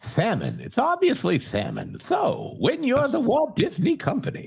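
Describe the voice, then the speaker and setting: A man at a moderate pace puts on a character voice pitched extremely high. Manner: bad, exaggerated.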